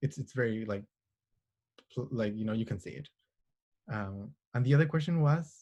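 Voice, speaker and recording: A man's somewhat breathy, dark and mellow voice at medium pitch with a Spanish accent, lively intonation, big swings in loudness and long, frequent pauses. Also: moderate pace. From Chile, Santiago. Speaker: astronomer. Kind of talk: interview answers. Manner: halting, many fillers.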